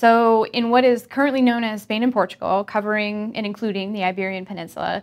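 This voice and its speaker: In a very clean recording with a silent background, a woman talks fairly quickly in a plain, everyday voice, medium in pitch with fairly even intonation. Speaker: research professor. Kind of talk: scripted narration.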